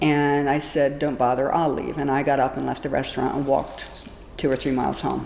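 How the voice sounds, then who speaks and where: At a fairly quick pace, a woman speaks in a very deep, low pitch with monotone, flat intonation, amid noticeable background noise and audible room echo. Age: 60s. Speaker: domestic abuse survivor. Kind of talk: testimony.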